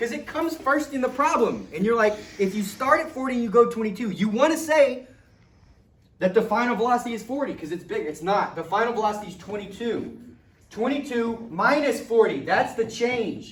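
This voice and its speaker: In a room with audible echo, a man with an extremely high pitch talks at a fairly quick pace, his tone animated and his intonation lively. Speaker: physics teacher. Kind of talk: classroom lesson. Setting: classroom with students. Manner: fast.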